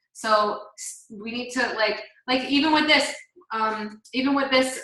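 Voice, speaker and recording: A woman with a high pitch and ordinary pitch variation speaks in a room with audible echo. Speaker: team leader. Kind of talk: team call presentation.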